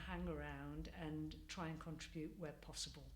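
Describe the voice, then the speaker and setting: Audible room echo surrounds a woman speaking in a Mancunian accent. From Manchester, northern England. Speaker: community project participant. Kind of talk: interview. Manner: hesitant, many fillers.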